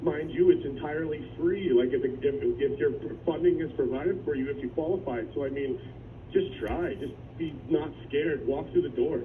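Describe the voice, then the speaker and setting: Moderate pace, with noticeable background noise and audible room echo. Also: man. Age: 30s. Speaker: former adult education student. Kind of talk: radio interview testimony. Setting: phone call. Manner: animated.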